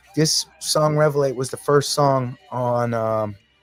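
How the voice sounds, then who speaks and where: Music plays in the background as a man talks with an American accent. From Massachusetts, near Boston. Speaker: singer-songwriter and band frontman. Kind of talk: podcast interview. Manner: animated, with frequent repetitions and fillers.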